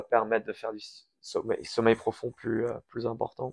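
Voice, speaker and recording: A man talks at a moderate pace and a medium pitch, recorded dry and close with no echo. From Switzerland/France, Iranian family, partly raised in US. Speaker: crypto company founder. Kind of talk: interview.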